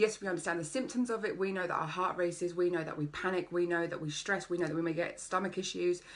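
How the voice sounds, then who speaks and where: A woman with an English accent talks very fast, with hardly any pauses, at a fairly low pitch and in an animated tone. Noticeable background noise is present. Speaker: life coach. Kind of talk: live-streamed workshop. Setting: Facebook live video.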